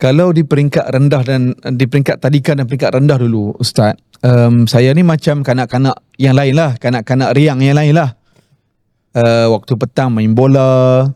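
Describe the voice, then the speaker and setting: With very even loudness and fairly even intonation, a man speaks at a moderate pace in a medium pitch and a dark, mellow tone, the sound dry and close with no echo. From Malaysia, Kelantan roots, raised in Penang. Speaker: Islamic preacher and author. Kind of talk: interview. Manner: conversational, with fillers.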